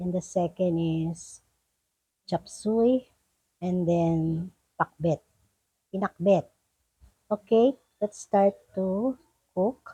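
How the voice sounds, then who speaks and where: Quiet and somewhat breathy, a woman with a dark, mellow tone speaks at a very slow pace with long, frequent pauses, in a dry, close sound with no echo. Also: medium pitch for a woman, ordinary pitch variation. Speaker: cooking vlogger. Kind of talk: cooking tutorial. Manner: casual.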